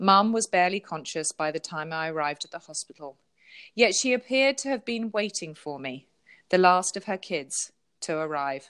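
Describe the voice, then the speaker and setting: On a very clean recording with a silent background and a dry, close sound with no echo, a woman with an English accent speaks at a medium pitch and a moderate pace with lively intonation. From southern England. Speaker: author and pastor. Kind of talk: interview; reading aloud.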